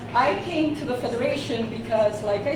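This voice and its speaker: A woman speaks fairly slowly at a fairly high pitch, her intonation fairly even. Room echo and noticeable background noise are audible. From Brazil. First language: Portuguese. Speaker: parent advocate presenter. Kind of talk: workshop presentation. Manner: some hesitation, searching for words.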